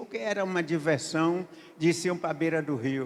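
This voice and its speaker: The man speaks with ordinary pitch variation. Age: 80s+. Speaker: pastor. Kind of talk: sermon. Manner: halting.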